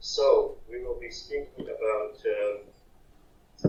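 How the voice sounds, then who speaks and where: Audible room echo surrounds a man whose pitch is extremely high, with ordinary pitch variation. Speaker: archaeology researcher. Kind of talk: conference talk.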